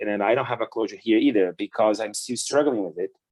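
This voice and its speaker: A man with a Portuguese accent. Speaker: business owner giving a church talk. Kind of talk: church talk. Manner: halting.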